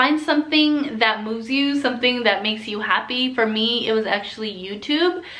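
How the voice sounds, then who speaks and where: A woman talks in a Californian accent. Audible room echo surrounds her voice. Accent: Californian American English. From Southern California. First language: Spanish. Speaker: flight attendant vlogger. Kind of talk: casual Q&A vlog. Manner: casual, filler-heavy.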